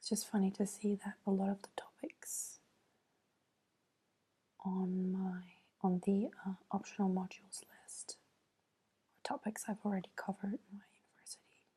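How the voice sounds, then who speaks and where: A soft-spoken woman mumbles in a somewhat breathy, dark, mellow tone at a moderate pace, with fairly even intonation, big swings in loudness and long, frequent pauses. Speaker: ASMR creator. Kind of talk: soft-spoken ASMR. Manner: soft-spoken, mumbling to herself. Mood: thoughtful, mildly amused. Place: home room. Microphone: earbuds.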